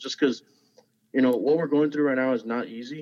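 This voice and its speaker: This man speaks with a South Texas accent. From South Texas, Zapata. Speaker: high school football coach. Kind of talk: casual interview.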